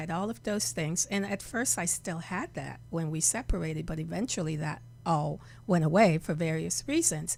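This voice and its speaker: Music plays behind a woman who keeps to a moderate pace. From Jamaica. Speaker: reverend and healer. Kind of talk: interview. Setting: studio.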